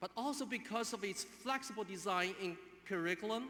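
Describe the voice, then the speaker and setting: At a moderate pace, a man speaks in a Chinese accent with ordinary pitch variation. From China. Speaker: graduate student speaker. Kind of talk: commencement speech. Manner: halting.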